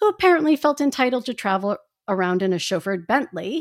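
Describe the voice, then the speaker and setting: With an American accent, a woman speaks with very wide pitch swings on a very clean recording against a silent background. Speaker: podcast co-host. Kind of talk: casual chat.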